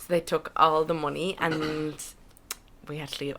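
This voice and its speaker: A woman with an Irish accent talks in a very deep, low pitch and a monotone, flat intonation amid noticeable background noise. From Ireland. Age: 20s. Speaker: podcast guest. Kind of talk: casual chat.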